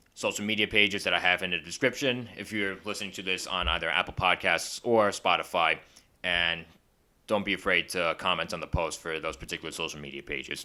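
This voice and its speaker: Very deep and low in pitch, a man's voice has a bright, sharp tone and moves at a fairly quick pace. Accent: Long Island. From Long Island, New York. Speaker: film review vlogger. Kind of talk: casual review monologue.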